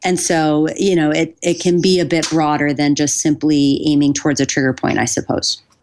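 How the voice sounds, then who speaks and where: The speaker has an American accent, fairly even intonation and hardly any pauses. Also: woman, very deep, low pitch for a woman, moderate pace, very even loudness. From US, Buffalo, New York. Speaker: physical therapist and former pro sports athletic trainer. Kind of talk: interview.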